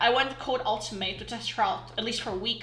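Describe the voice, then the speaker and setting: A woman speaks with a fairly high pitch. Noticeable background noise is present. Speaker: online game player. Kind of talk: casual gaming commentary.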